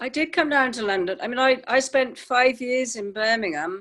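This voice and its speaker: A woman's bright, sharp tone at a fairly slow pace, with ordinary pitch variation. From Wales, the Welsh Valleys. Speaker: acupuncturist. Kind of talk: life story interview. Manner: halting.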